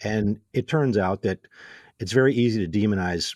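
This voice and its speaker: A man with ordinary pitch variation, dry and close with no echo, over a quiet background. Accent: American. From Illinois, Waukegan. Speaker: philosophy professor. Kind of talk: casual interview.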